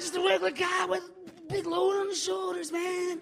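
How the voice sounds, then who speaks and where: A man talks at a fairly quick pace in a raised, projected voice with an extremely high pitch. His pitch swings very widely, and noticeable background noise runs underneath. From Manitoba reserve, Canada. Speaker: comedian and radio DJ. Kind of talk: stand-up and panel chat. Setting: stage with audience.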